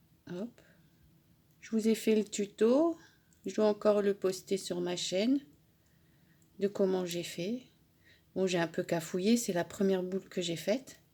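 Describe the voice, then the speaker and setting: The delivery is fairly slow with ordinary pitch variation, long, frequent pauses and big swings in loudness. The recording is very clean, with a silent background. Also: woman, medium pitch for a woman. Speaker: crafting YouTuber. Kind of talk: tutorial.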